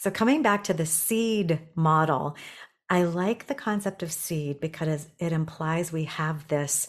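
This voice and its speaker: Over a quiet background, a woman with an ordinary speaking voice talks at a fairly slow pace with ordinary pitch variation. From Canada, Toronto. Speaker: executive coach. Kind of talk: casual interview.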